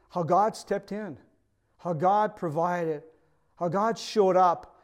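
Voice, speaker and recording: Someone with a Quebec accent speaks at a moderate pace. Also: man. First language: French. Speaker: pastor. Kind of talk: sermon. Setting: video recording for online service.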